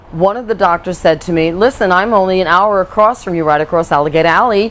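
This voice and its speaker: An animated woman with a medium pitch and ordinary pitch variation at a fairly quick pace, amid noticeable background noise. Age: 60s. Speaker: patient giving testimonial. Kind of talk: testimony. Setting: on camera interview.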